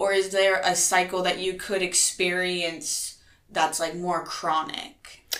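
A woman's medium-pitched voice with an American accent, monotone and flat, at a very slow pace, with audible room echo and noticeable background noise. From Nebraska, US Midwest. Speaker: podcast host. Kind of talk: casual interview.

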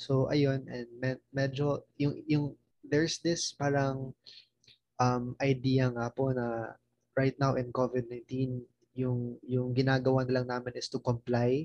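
A man with a Filipino accent, medium pitch, monotone and flat intonation, a fairly slow pace, and a dry, close sound with no echo. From Mindanao, Philippines. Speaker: college student. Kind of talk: casual interview chat. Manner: polite, respectful, uses po.

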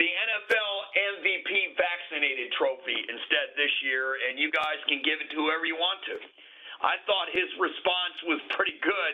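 A man speaks in a high pitch. Noticeable background noise is present. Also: ordinary pitch variation, fairly slow pace. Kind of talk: casual sports talk show.

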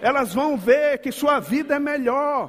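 Speaking with a slight northeastern Brazilian accent, a man talks at a fairly slow pace in an extremely high pitch with an animated tone. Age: 50s. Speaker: pastor. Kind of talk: sermon. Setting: church.

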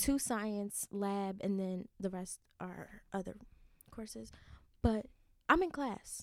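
At a very slow pace, a woman speaks in a medium pitch, leaving long, frequent pauses, her loudness swinging widely. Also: ordinary pitch variation. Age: young. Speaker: college student podcast co-host. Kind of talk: casual chat. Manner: giggly, frequent laughter.

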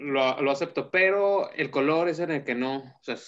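Intonation rises and falls in a lively way. The speaker has a plain, everyday voice. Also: man. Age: 30s. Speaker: fashion designer. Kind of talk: interview.

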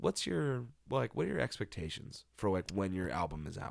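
With lively intonation and a fairly quick pace, a man speaks at a very deep, low pitch, showing vocal fry. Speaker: podcast host. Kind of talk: casual chat. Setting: home recording.

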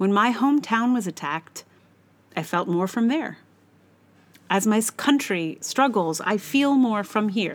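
A woman with an American accent, fairly high pitch and lively intonation, at a fairly slow pace with long, frequent pauses. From United States. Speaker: blogger and podcaster. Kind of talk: reading aloud own blog post.

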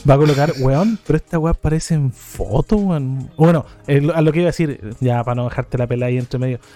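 Over noticeable background noise, a man with a fairly high pitch races along at a very fast pace with hardly any pauses. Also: ordinary pitch variation, dry, close sound with no echo. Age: 30s. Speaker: podcast co-host. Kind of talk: casual chat.

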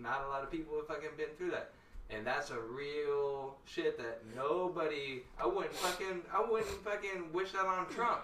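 Over noticeable background noise, a man with a high pitch talks at a moderate pace with lively intonation. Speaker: guest. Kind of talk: casual chat. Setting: live stream.

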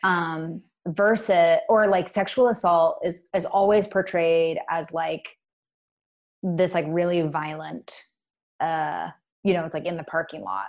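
A woman with an American accent and an unremarkable speaking voice talks at a fairly slow pace and fairly low pitch. Her intonation is fairly even, and the recording is very clean with a silent background. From Washington State, Puget Sound. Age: 30s. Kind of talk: casual interview.

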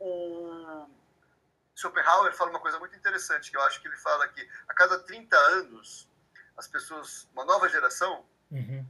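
The loudness swings widely throughout. The pace is moderate. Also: man. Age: 50s. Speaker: author of young adult fiction. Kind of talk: interview. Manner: halting, many repetitions.

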